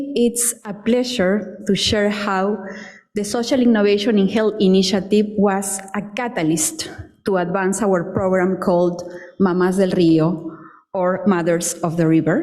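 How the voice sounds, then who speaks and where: A woman with a Spanish accent at a medium pitch, ordinary pitch variation and a fairly slow pace, amid noticeable background noise and audible room echo. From Peru. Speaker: public health professor and researcher. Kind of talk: conference presentation.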